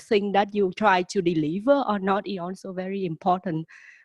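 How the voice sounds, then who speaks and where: A woman's medium-pitched voice at a moderate pace, fairly even in intonation, dry and close with no echo, over a quiet background. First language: not English. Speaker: graduate student panelist. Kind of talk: panel discussion.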